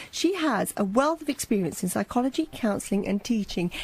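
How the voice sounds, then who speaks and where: Noticeable background noise sits behind a woman with a fairly high pitch. She talks at a fairly quick pace with very wide pitch swings. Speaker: hospital radio presenter. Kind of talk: radio presenter talk to listeners.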